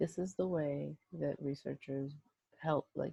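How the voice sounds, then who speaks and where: A woman's quiet whispering, dry and close with no echo. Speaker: statistics instructor. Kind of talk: screen-recorded software tutorial. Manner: whispered, quiet.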